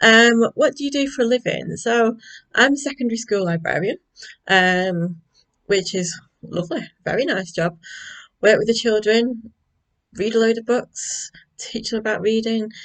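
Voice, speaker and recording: A woman speaks with a Manchester accent and ordinary pitch variation. Her speech has long, frequent pauses. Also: fairly high pitch for a woman, moderate pace. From northern England, North Manchester. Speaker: school librarian and craft vlogger. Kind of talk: casual vlog chat. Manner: hesitant, many fillers.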